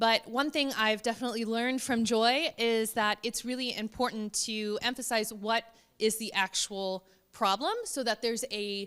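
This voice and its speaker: A woman with an American accent, fairly high pitch, fairly even intonation and a moderate pace. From United States. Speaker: researcher. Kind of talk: conference presentation. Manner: casual, many fillers.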